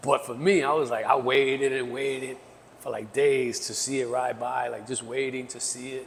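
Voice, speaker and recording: A man of medium pitch with a New York accent, a moderate pace, monotone, flat intonation and big swings in loudness, amid noticeable background noise and audible room echo. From New York City, the Bronx. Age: 50s. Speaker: graffiti artist. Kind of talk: casual interview chat.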